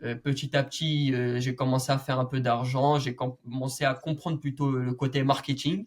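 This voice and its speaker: Somewhat breathy, a man talks at a moderate pace with monotone, flat intonation. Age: 20s. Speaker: young entrepreneur and medical student. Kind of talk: interview conversation.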